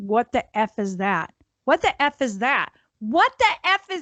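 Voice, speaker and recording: A woman puts on a squeaky character voice, high in pitch with very wide pitch swings, speaking at a fairly slow pace in a dry, close sound with no echo. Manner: panicked repetition.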